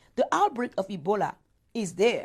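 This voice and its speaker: Speaking with a West African accent, a woman uses an animated, passionate tone, a fairly high pitch and very wide pitch swings. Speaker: interviewee, speaker on Africa. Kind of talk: interview. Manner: halting, with repetitions.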